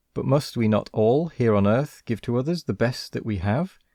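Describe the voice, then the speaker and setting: With a British accent, the speaker has a dark, mellow tone, ordinary pitch variation and a moderate pace, captured in a very clean recording with a silent background and a dry, close sound with no echo. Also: man. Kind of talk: story reading.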